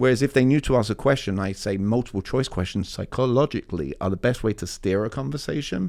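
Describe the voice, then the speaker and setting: On a very clean recording with a silent background, a man with a medium pitch and lively intonation speaks at a very fast pace. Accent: London. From East London, England. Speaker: communication coach. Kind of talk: interview answer.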